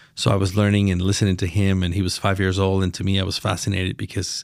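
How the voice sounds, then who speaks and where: Spoken very fast in a flat monotone, the clip is a very clean recording with a silent background. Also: man. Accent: Spanish. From Mexico, Chiapas. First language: Spanish. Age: 50s. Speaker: lawyer and business leader. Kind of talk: podcast interview. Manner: halting, with repetitions.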